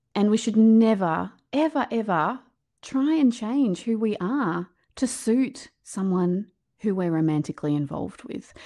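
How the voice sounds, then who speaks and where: Someone with an Australian accent and a dark, mellow tone speaks at a fairly slow pace with lively intonation over a quiet background. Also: woman, fairly high pitch for a woman. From rural New South Wales, Australia. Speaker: author and keynote speaker. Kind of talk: interview, storytelling.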